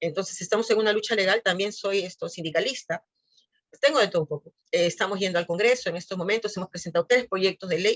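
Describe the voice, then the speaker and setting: Talking at a very fast pace, a woman uses a medium pitch and ordinary pitch variation. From Peru. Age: 60s. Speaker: physiotherapist. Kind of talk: interview.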